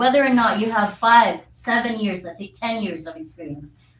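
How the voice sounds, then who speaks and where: A woman speaks with a Filipino accent. Her pitch is fairly high. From Philippines. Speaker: social studies teacher. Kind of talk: public comment to school board. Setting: school board meeting.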